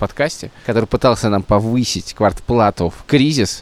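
Talking at a fairly quick pace, a man sounds animated with lively intonation, recorded with a dry, close sound and no echo. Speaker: podcast host. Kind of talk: casual chat. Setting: outdoors.

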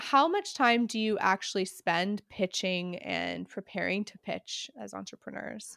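A woman talks at a fairly slow pace with hardly any pauses, her loudness swinging widely, in a dry, close sound with no echo. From Canada. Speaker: podcast host. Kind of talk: podcast interview.

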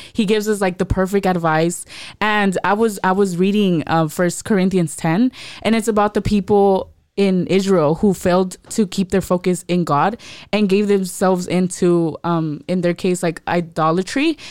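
A plain, everyday voice from a woman, medium in pitch, with fairly even intonation and a very clean recording on a silent background. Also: moderate pace, very even loudness. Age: young. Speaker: youth podcast host. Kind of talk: casual faith discussion.

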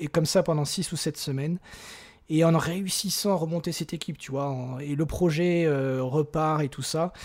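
A man speaks in an ordinary speaking voice, fairly high in pitch, at a fairly slow pace with fairly even intonation. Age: 40s. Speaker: software engineer and operations director. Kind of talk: casual interview.

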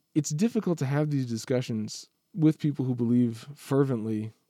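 A man's medium-pitched, dark, mellow voice, fairly quick, with ordinary pitch variation, in a dry, close sound with no echo. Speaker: teacher guest. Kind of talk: casual conversation.

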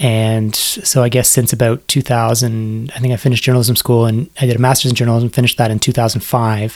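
Here a man speaks with a Canadian accent at a moderate pace. His intonation is monotone and flat. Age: 40s. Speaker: science journalist and author. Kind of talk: podcast interview.

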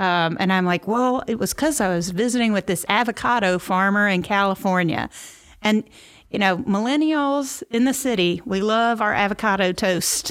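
In a Memphis accent, a woman speaks at a moderate pace and medium pitch with very even loudness and ordinary pitch variation, on a very clean recording with a silent background. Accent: Southern US (Memphis). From Memphis, Tennessee (US South). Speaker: agricultural communicator and podcaster. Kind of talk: interview conversation.

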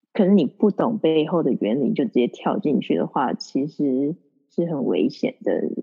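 Very wide pitch swings fill speech that keeps a moderate pace. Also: woman, very deep, low pitch for a woman. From Taiwan, then New Zealand from age ~11. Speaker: nutrition and wellness coach. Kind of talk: casual interview. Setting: at home in the evening. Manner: energetic.

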